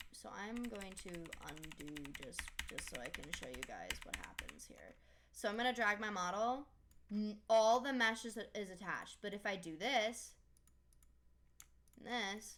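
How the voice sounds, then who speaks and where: The speech goes at a fairly slow pace with long, frequent pauses, big swings in loudness and ordinary pitch variation. Noticeable background noise runs underneath. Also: woman, fairly high pitch for a woman. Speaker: 3D modeling tutorial creator. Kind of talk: tutorial.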